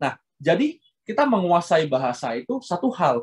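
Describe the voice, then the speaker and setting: A man with lively intonation at a fairly slow pace, in a dry, close sound with no echo. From Indonesia. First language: Hokkien (speaking Indonesian). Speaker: guest lecturer. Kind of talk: lecture. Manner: fluent, unbroken delivery.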